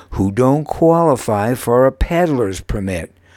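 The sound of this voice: Lively intonation in an unforced reading voice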